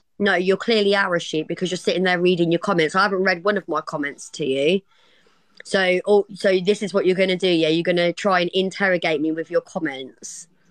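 Delivered at a fairly quick pace with fairly even intonation, the speech sounds dry with no echo over a quiet background. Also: woman, medium pitch for a woman. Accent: East Midlands. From Kettering, Northamptonshire, England. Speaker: live stream co-host. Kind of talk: casual banter, playful argument. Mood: sassy, confrontational banter. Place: home room. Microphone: phone near.

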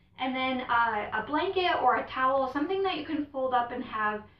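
The room echo is audible. The speaker talks at a moderate pace with ordinary pitch variation. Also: woman. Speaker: yoga instructor. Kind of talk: tutorial. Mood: calm, gentle. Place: home room.

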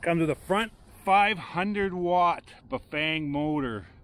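A man's lively intonation, light background noise and a dry sound with no echo. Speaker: bike reviewer. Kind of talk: product walkthrough commentary. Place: garden. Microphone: phone near.

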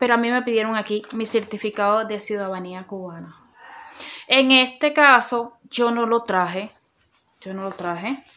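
A woman's fairly high, bright, sharp voice at a fairly slow pace, with ordinary pitch variation and big swings in loudness. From Cuba. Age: 30s. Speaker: YouTuber. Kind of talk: informational vlog. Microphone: phone near.

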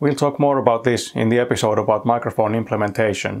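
Here a man talks at a fairly quick pace with ordinary pitch variation. His medium-pitched voice has a slightly mellow tone.

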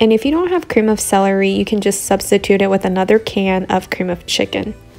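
A woman at a fairly quick pace with ordinary pitch variation, faint music in the background. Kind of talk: tutorial. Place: kitchen.

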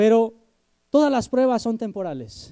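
Against a quiet background, a man speaks fairly slowly in an extremely high pitch with a dark, mellow tone. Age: 20s. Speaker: preacher. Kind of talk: sermon. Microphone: handheld.

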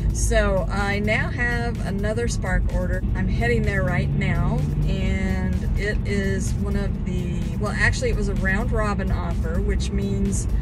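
A woman speaks at a fairly slow pace, her voice dry with no echo. Loud music plays in the background. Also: ordinary pitch variation. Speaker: delivery driver vlogger. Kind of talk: casual vlog chat. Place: car. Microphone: phone near.

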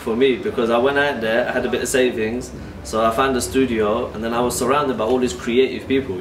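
A man with a London accent talks at a very fast pace with ordinary pitch variation, over light background noise and with audible room echo. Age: 30s. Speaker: artist. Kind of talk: documentary interview. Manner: talkative. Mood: warm, reflective. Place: workshop.

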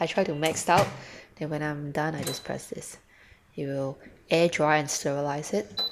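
A woman's very deep, low pitch at a moderate pace, over light background noise. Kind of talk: casual home tour narration. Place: kitchen. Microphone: phone near.

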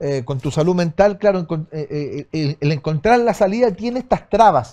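With a Chilean accent, a man speaks in a high pitch with lively intonation. His tone is dark and mellow, and the background is quiet. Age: 50s. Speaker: radio host. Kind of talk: interview. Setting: studio. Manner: halting. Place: studio.

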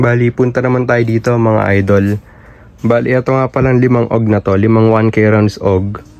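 A man's medium-pitched voice, monotone and flat in intonation, with very even loudness and a moderate pace. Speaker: fireworks seller and YouTuber. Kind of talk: product showcase vlog. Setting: warehouse. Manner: halting, short of breath.

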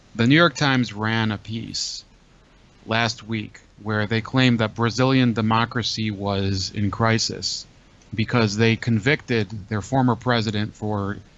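The man's intonation stays fairly even, and the sound is dry with no echo. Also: fairly slow pace. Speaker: call-in show host. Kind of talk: commentary. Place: home room. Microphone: studio mic.

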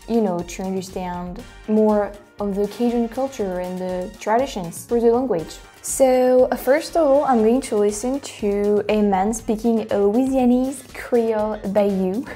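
Faint music plays behind a woman speaking with a French accent. She talks at a fairly slow pace with ordinary pitch variation. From France. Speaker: language reaction youtuber. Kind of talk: casual talk to camera. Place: home room. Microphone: lapel.

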